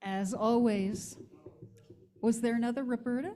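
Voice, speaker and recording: A dark, mellow voice with an American accent moves at a fairly slow pace with ordinary pitch variation and audible room echo. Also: woman. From US Northeast (Hudson Valley, NY). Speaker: minister. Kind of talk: sermon.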